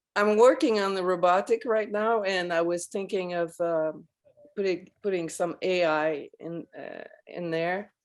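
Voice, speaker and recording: Speaking fairly slowly, a woman uses ordinary pitch variation. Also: medium pitch for a woman. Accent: French. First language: French. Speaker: audience member in discussion forum. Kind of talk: casual video-call discussion. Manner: halting.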